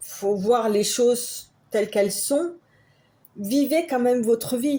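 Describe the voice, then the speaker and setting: Speaking at a very slow pace, a woman uses a dark, mellow tone, high pitch with ordinary variation, and very even loudness. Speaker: tarot card reader. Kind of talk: tarot reading. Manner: halting.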